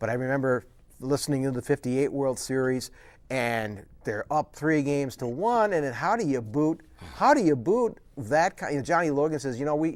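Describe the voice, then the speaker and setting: In a very clean recording with a silent background, a man with an American accent speaks at a moderate pace. His pitch is fairly high and his intonation lively. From US Midwest, Wisconsin (Menomonee Falls). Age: 50s. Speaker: author and former broadcast journalist. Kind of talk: casual interview.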